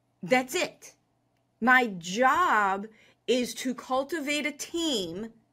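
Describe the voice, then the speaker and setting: A woman's high-pitched, bright, sharp voice with an energetic tone and lively intonation, on a very clean recording with a silent background. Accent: American. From Chicago, US. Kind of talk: interview. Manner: confident, big-talking.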